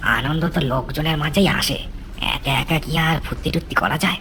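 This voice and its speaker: A cartoonish character voice at a middle pitch and moderate pace, with clear background noise. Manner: chuckling, ingratiating.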